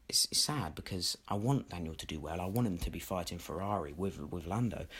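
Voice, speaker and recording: Somewhat breathy speech with a British accent and very wide pitch swings, on a very clean recording with a silent background. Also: man. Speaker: F1 YouTuber. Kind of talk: opinion commentary. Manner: energetic.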